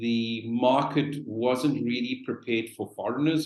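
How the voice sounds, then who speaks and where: This is a man at a medium pitch. His intonation is fairly even. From South Africa. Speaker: real estate professional. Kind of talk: webinar panel talk.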